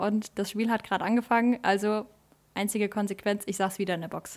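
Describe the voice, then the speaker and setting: In a very clean recording with a silent background, a woman with an unremarkable speaking voice talks at a fairly quick pace, her fairly high pitch held in fairly even intonation. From Germany, Westerwald region. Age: 20s. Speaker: table tennis club social media manager. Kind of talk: casual chat; promotional announcement.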